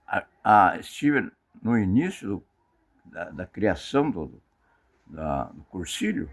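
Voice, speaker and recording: Speaking at a very slow pace with long, frequent pauses, a man with a fairly low pitch makes very wide pitch swings and big swings in loudness. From Paraná, southern Brazil. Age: 80s+. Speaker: retired tailor and merchant. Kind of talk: interview, life story. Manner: halting, repeats words.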